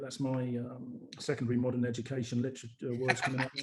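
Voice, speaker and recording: A man at medium pitch with a London accent and a very fast pace. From London, England. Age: 60s. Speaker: retired broker. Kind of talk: casual interview chat. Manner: halting, many fillers.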